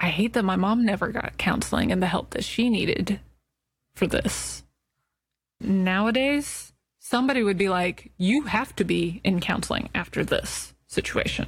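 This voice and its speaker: A woman with vocal fry keeps a very even loudness and ordinary pitch variation in a very clean recording with a silent background. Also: medium pitch for a woman, moderate pace. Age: 30s. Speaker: podcast host. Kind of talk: personal monologue.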